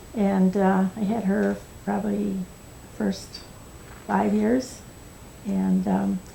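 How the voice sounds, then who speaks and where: A woman speaks with an American accent at a very slow pace. Her speech has long, frequent pauses. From US Midwest, northern Illinois. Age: 80s+. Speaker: oral history interviewee. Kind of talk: oral history interview.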